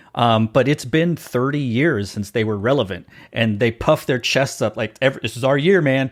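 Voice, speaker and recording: Speaking in an unremarkable speaking voice with an American accent, a man at medium pitch keeps a moderate pace in a very clean recording with a silent background. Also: ordinary pitch variation. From Texas. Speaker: podcast host. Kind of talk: casual interview chat.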